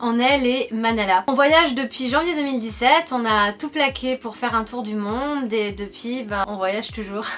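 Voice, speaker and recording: Over noticeable background noise, a high-pitched woman talks at a moderate pace with hardly any pauses. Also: ordinary pitch variation. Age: 30s. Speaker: travel vlogger. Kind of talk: casual chat.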